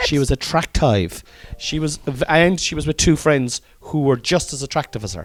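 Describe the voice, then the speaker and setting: A man speaks in an animated tone. He has a Cork accent. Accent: Cork Irish. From Ireland, Cork. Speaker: comedian podcaster. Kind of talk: casual chat.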